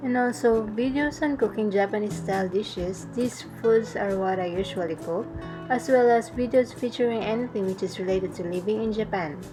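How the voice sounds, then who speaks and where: A woman with a Filipino accent speaks fairly quickly at medium pitch with ordinary pitch variation. Music plays in the background. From Philippines. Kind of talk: travel how-to vlog narration.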